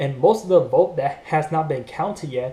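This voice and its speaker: A man speaks with a fairly high pitch and a dark, mellow tone. His voice is somewhat breathy. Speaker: YouTuber commenting on news. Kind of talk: casual vlog commentary. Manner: fast.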